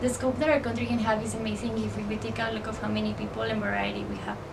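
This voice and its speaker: Noticeable background noise and audible room echo around a woman talking at a fairly quick pace. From Mexico. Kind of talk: presentation speech. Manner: formal.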